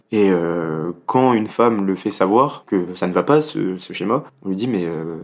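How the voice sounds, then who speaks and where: There is a very clean recording with a silent background as a man, fairly low in pitch, speaks with ordinary pitch variation. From Paris region, France. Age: 20s. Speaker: political science student. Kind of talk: interview. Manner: hesitant, many fillers.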